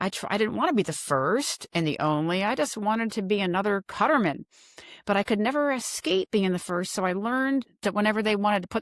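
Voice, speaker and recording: A woman with an American accent talks at a very fast pace in an animated tone and medium pitch, the sound dry and close with no echo on a very clean recording with a silent background. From US Mid-Atlantic, Maryland. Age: 60s. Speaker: retired coast guard admiral. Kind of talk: podcast interview. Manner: animated storytelling.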